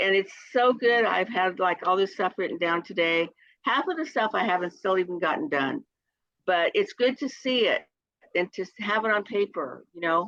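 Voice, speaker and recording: A woman speaks in an ordinary speaking voice at medium pitch, with lively intonation and a moderate pace. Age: 60s. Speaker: direct sales consultant. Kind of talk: casual chat.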